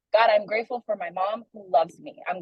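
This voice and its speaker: Speaking at a fairly quick pace with a Haitian accent, a woman sounds somewhat breathy, her fairly high pitch showing ordinary variation. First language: Haitian Creole. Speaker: young adult ministry leader. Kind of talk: sermon-style discussion. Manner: casual, conversational with many fillers.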